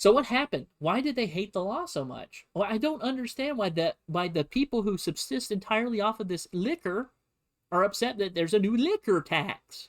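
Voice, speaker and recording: A man with an American accent speaks in a high pitch at a fairly quick pace. His pitch swings very widely. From United States. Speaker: history streamer. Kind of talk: livestream history lesson. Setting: livestream. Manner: animated.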